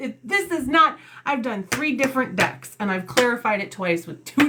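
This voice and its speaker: The voice is loud and animated, with very wide pitch swings at a moderate pace. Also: woman. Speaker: tarot reader. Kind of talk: tarot reading livestream. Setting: live stream. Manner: loud, animated.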